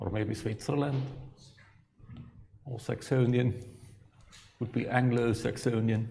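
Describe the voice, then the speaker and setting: Over audible room echo, a man talks at a fairly slow pace with long, frequent pauses, his medium-pitched voice dark, mellow, somewhat breathy and flat in intonation. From Franconia, Germany. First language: German. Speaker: astrophysics professor. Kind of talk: lecture.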